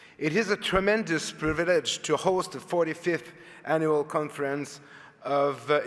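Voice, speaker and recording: Moderate-paced speech from a man in a Quebec accent, fairly high in pitch with ordinary pitch variation, over noticeable background noise. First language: French. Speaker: public agency head, lawyer. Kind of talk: formal speech. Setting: conference stage with audience. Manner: reading from notes.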